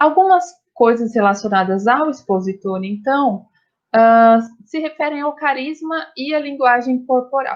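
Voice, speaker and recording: Over a quiet background, a woman talks at a fairly slow pace with a high pitch and lively intonation. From interior of São Paulo state, Brazil. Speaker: university professor. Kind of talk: lecture. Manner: speeds up when nervous at start.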